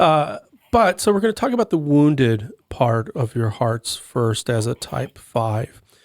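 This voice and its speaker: A man with an American accent, speaking at a fairly slow pace in a fairly high pitch. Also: very clean recording, silent background. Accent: slight Texas accent, comes back occasionally. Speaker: podcast co-host, enneagram coach. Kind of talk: podcast panel discussion.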